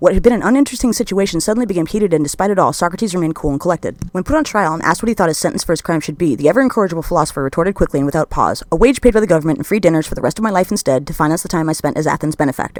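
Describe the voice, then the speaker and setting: The speech moves at a very fast pace with hardly any pauses. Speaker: history narrator. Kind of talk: scripted narration.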